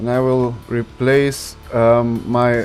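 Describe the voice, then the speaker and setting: With music playing in the background, a man speaks at a medium pitch with a non-native accent. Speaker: game modding YouTuber. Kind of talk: modding tutorial narration.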